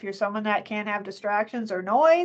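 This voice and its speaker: A woman talks with lively intonation. Her background is quiet. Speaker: college library resource manager. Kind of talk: online information session presentation. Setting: video call from her office. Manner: fast; chatty, animated.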